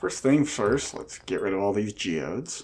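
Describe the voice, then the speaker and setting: Music plays in the background while a man speaks. He keeps a moderate pace with ordinary pitch variation. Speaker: gaming let's play host. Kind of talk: casual gameplay commentary.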